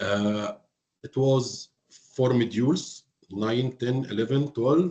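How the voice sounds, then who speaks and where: This man has a medium pitch, a dark, mellow tone, ordinary pitch variation and an Arabic accent, and he speaks at a very slow pace. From Egypt, Alexandria. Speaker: hotel finance professional. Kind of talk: interview. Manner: halting.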